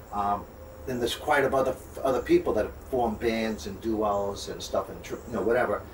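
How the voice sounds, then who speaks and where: Talking at a fairly quick pace, a man speaks with a New York accent. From Long Island, New York. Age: 60s. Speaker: singer-songwriter. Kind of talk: interview.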